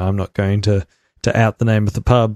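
A man with a Melbourne accent and a fairly low pitch speaks at a fairly quick pace in a monotone, flat delivery, the sound dry and close with no echo against a quiet background. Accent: Australian, Melbourne northern suburbs. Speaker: podcast host. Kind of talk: casual chat.

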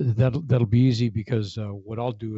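A man with an American accent talks at a moderate pace, his intonation fairly even. His voice is somewhat breathy. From US Midwest, Kankakee, Illinois. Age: 70s. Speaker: retired military general. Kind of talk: interview storytelling. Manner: halting, many fillers.

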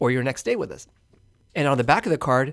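With an American accent, a plain, everyday voice moves at a fairly quick pace with ordinary pitch variation on a very clean recording with a silent background. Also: man. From Houston, Texas. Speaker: hotel owner and entrepreneur. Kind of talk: casual interview.

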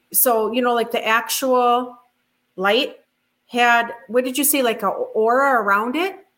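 A woman speaks with a high pitch and ordinary pitch variation. Her pace is very slow. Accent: Minnesotan. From rural Minnesota. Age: 50s. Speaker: UFO witness. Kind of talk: interview testimony.

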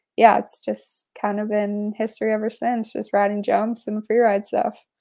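A woman talks with a western Canadian accent. Her pace is moderate. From Canada, British Columbia (Pemberton/Whistler). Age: 20s. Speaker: mountain biker and nurse. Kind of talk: casual chat.

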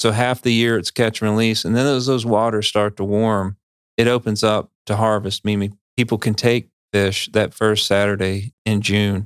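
A man speaks in an ordinary speaking voice with an American accent, at medium pitch and a moderate pace. His intonation is fairly even, his loudness very even, and the recording is very clean with a silent background. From North Carolina Piedmont. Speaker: fisheries biologist. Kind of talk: podcast interview.

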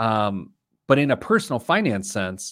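In a very clean recording with a silent background, a man with an unremarkable speaking voice talks at medium pitch with lively intonation. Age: 40s. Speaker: personal finance podcast host. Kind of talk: casual chat.

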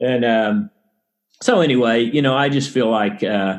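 A man in a Texan accent, medium in pitch, with ordinary pitch variation at a moderate pace. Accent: Texan American. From Texas, Dallas suburbs. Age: 50s. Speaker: sports agent and author. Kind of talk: interview testimony.

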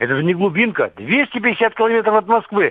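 Pitch varies in an ordinary way as the speaker goes at a moderate pace. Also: man. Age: 60s. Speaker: retired serviceman, war veteran calling a radio show. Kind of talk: radio call-in question. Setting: phone call.

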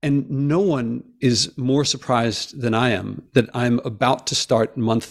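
A man's unremarkable speaking voice with ordinary pitch variation, on a very clean recording with a silent background. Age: 50s. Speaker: professor and environmental podcaster. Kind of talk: interview.

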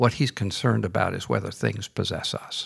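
With lively intonation and vocal fry, a man speaks on a very clean recording with a silent background. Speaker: missionary and former university president. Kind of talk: interview.

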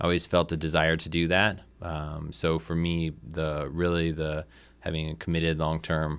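In a Midwestern American accent, a man with a very deep, low voice speaks at a moderate pace in a monotone, flat delivery. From northern Indiana, Lake County. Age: 30s. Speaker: LGBTQ community organizer and parent. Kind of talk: interview. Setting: radio studio.

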